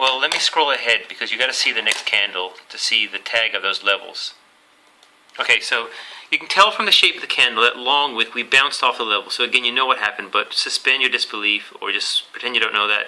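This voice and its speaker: A man rattles along at a very fast pace, his medium pitch moving with ordinary variation, while noticeable background noise sits behind him. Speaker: trading educator. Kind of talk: tutorial.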